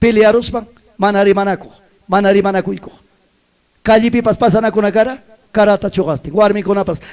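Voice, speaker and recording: At a fairly quick pace, a man speaks in a high pitch with an animated tone. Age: 60s. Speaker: pastor. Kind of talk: sermon.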